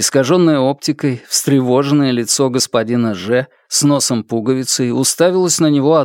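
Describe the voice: The delivery is plain reading aloud. Pitch variation is ordinary.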